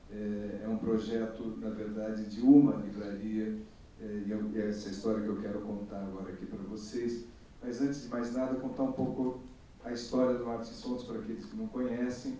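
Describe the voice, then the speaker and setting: There is noticeable background noise and audible room echo. Over it, a man talks at a moderate pace with fairly even intonation. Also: medium pitch for a man. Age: 60s. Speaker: bookseller, panelist. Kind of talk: panel talk. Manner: hesitant, many fillers.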